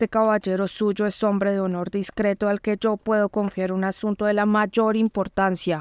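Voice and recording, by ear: A natural voice reading aloud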